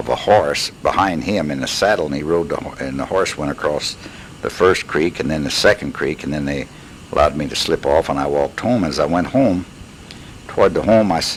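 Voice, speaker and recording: Over noticeable background noise, a man with an American accent and a very deep, low pitch talks fairly quickly with ordinary pitch variation. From Missouri, USA. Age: 70s. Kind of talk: personal life story recording. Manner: hesitant, conversational.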